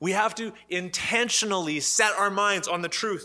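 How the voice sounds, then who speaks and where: With a Canadian accent, a man speaks in a raised, projected voice that is high in pitch, with fairly even intonation. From Canada, Ottawa. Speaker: pastor. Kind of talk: sermon.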